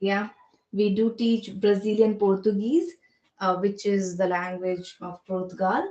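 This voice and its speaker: With an Indian accent, a woman speaks fairly slowly at a medium pitch, her dark, mellow tone carrying fairly even intonation. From India, Delhi. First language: Hindi. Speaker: spoken English trainer and career coach. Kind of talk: interview. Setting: phone call.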